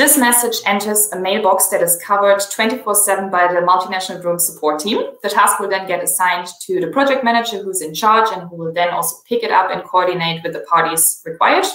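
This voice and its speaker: A woman's voice with a German accent, medium pitch, ordinary pitch variation and a fairly quick pace. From Germany. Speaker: software company presenter. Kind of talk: product demo webinar.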